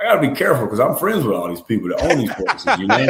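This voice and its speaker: A man with a South Carolina accent. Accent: Southern US (South Carolina). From US South, South Carolina (Union County). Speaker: high school football head coach. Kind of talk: interview. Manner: loud.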